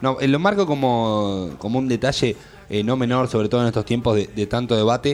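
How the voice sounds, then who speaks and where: A man talks at a fairly quick pace in a normal speaking voice of medium pitch. His loudness stays very even, with ordinary pitch variation. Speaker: radio host. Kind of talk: casual chat.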